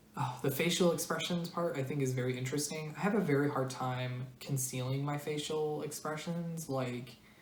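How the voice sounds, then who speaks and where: Over noticeable background noise and audible room echo, a woman with an American accent and a very deep, low pitch speaks at a moderate pace with fairly even intonation and hardly any pauses. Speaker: video blogger. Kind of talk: personal explainer monologue. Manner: flat intonation, serious and direct; hesitant, many fillers.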